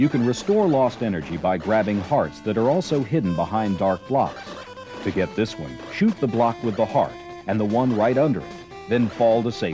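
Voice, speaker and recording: Music plays behind a man speaking at a moderate pace in a medium pitch. His pitch swings very widely. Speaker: video game tips announcer. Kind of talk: instructional voiceover for game strategy tape.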